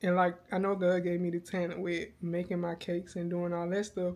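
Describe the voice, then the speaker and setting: Speaking at a medium pitch, a woman keeps a moderate tempo. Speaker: vlogger and cake baker. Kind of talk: casual vlog talk, faith reflection.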